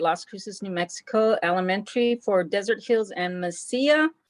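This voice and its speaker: A woman's medium-pitched, normal speaking voice, at a moderate pace with ordinary pitch variation. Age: 60s. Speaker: art teacher and graduate student. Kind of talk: class introduction.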